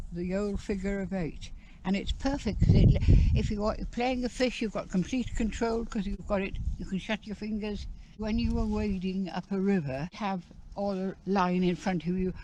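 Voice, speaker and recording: A woman at a moderate pace, ordinary pitch variation, noticeable background noise behind her. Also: medium pitch for a woman. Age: 80s+. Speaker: veteran angler. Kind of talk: casual chat. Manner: halting.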